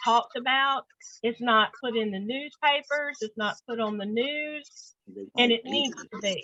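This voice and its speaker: Her voice is an unremarkable speaking voice, fairly high in pitch. The woman speaks at a fairly slow pace with ordinary pitch variation. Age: 60s. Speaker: book discussion host, activist. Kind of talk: casual discussion.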